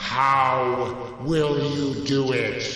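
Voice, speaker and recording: A man uses a put-on character voice at medium pitch, with a strong echo around him. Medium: read story. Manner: majestic, authoritative.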